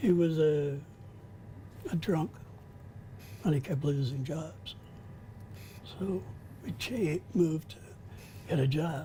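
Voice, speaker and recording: Speaking at a very slow pace with long, frequent pauses, a man uses lively intonation and a fairly high pitch. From Quebec, Canada (Pontiac region). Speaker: life-story interviewee. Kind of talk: interview. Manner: halting.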